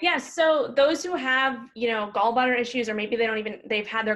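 The delivery moves at a moderate pace, with fairly even intonation and a fairly bright tone. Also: woman.

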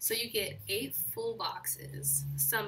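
A woman's voice comes through audible room echo, with noticeable background noise present. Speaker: planner YouTuber. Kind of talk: casual vlog haul.

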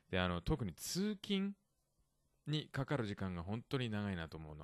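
At a moderate pace, the speech comes through with a dry, close sound with no echo against a quiet background. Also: man. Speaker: podcast host. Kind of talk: casual bilingual chat teaching vocabulary. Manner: laughs often.

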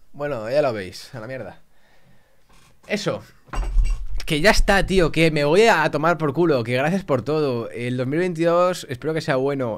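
This man's pitch sits fairly high. He speaks at a fairly slow pace. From Spain. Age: 20s. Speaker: YouTuber. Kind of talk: casual vlog talk to camera. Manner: animated. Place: home room. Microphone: studio mic.

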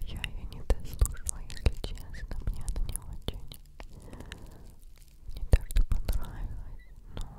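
The voice is whispering. It moves at a very slow pace. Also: woman. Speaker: ASMR creator. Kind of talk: soft-spoken casual chat. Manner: intimate close-mic whisper. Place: home room. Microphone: studio mic.

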